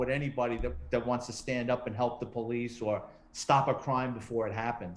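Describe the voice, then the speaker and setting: A man's fairly quick speech holds fairly even intonation. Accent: New York. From New York City, the Bronx. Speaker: retired police detective and true crime author. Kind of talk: interview.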